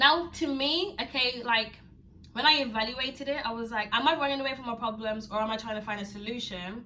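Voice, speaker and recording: A woman talks at a fairly quick pace in a high pitch with ordinary pitch variation, with noticeable background noise and audible room echo. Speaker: YouTuber. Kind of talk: personal vlog. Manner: fast; stumbling over words.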